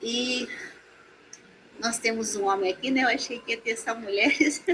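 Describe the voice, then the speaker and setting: The woman's pitch sits fairly high. She talks at a moderate pace. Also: fairly even intonation. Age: 60s. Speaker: massage therapist. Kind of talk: online talk. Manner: halting.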